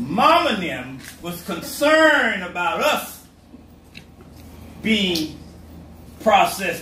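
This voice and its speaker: In a raised, projected voice, a man speaks at a very slow pace with long, frequent pauses and very wide pitch swings, amid audible room echo and noticeable background noise. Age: 70s. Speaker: pastor. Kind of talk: sermon.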